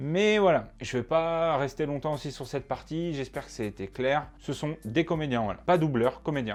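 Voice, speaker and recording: A man speaks at a fairly high pitch and moderate pace with ordinary pitch variation. He hardly pauses at all. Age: 20s. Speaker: student, YouTuber about dubbing. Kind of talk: casual talk to camera. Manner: casual, hesitant with fillers.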